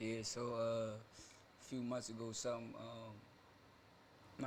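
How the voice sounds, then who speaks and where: A man speaks with an American accent while noticeable background noise goes on. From Philadelphia, US. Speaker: fashion entrepreneur. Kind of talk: casual chat.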